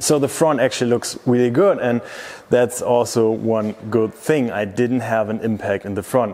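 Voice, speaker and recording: Over noticeable background noise, a man speaks in a German accent at a moderate pace. His pitch is medium, with ordinary variation. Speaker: car youtuber. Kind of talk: vlog walkthrough.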